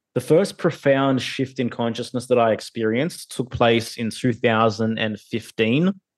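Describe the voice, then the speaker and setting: At a fairly slow pace, a man with an Australian accent talks at a medium pitch with ordinary pitch variation. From Australia (Sydney). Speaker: podcaster and hip-hop artist. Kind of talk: casual interview. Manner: hesitant, many fillers.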